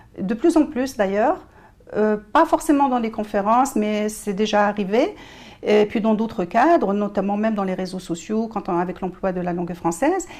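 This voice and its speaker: A woman uses lively intonation at a fairly high pitch and a moderate pace. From Morocco. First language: Moroccan Arabic (darija) (speaking French). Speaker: journalist and writer. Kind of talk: TV interview. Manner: hesitant, many filler sounds.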